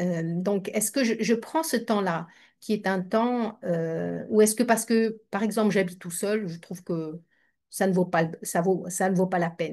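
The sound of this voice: At a moderate pace, the voice has ordinary pitch variation and a slightly mellow tone. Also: woman, medium pitch for a woman.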